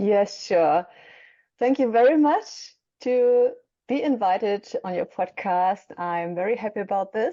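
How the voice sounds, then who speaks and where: A woman with a German accent speaks at a fairly slow pace in a dark, mellow tone, with a medium pitch and ordinary pitch variation. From Germany. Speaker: mentor for young mothers and author. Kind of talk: podcast interview.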